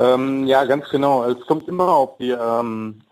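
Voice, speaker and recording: Speaking at a moderate pace, a man uses a plain, everyday voice at medium pitch with fairly even intonation. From Germany, Wolfsburg (born in Mexico, moved at ten). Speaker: chef and food truck owner. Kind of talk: radio interview. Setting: studio.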